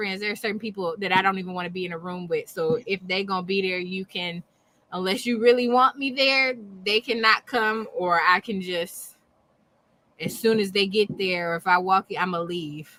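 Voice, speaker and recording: A woman speaks loudly at a moderate pace, her medium pitch showing ordinary variation. Her tone is bright and sharp, and the sound is dry and close with no echo. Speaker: podcast co-host. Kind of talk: casual chat.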